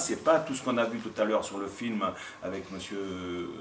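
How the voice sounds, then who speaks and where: Talking at a fairly quick pace, a man is heard over noticeable background noise with audible room echo. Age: 60s. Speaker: mayor. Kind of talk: public discussion remarks. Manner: halting, many hesitations.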